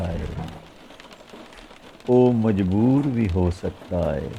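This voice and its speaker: A man with a fairly low pitch and lively intonation, over noticeable background noise. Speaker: poet. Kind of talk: poetry reading.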